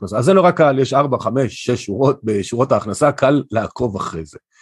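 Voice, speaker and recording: A man speaks fairly quickly in a plain, everyday voice, his pitch varying in an ordinary way over a quiet background. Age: 50s. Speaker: financial advisor. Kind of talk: interview.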